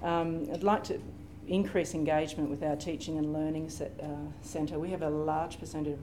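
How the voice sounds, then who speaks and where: In an Australian accent, a woman speaks at a moderate pace with a very deep, low pitch. Noticeable background noise is present. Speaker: library systems librarian; panelist. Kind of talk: conference panel presentation. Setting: stage with audience. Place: meeting room.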